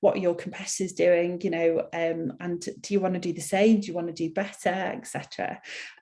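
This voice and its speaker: With a Mancunian accent, a woman speaks at a moderate pace and medium pitch. Her tone is dark and mellow, her intonation fairly even. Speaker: HR consultancy CEO. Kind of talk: webinar presentation. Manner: hesitant, many fillers.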